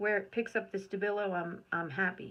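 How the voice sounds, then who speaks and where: A woman mumbles at a moderate pace in a bright, sharp tone with fairly even intonation. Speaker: art video creator. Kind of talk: painting tutorial, thinking aloud. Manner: mumbling; relaxed, self-talk.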